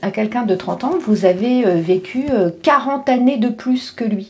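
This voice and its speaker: A woman's lively intonation over noticeable background noise. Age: 50s. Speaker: life coach and vlogger. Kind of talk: casual vlog monologue. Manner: halting, many fillers.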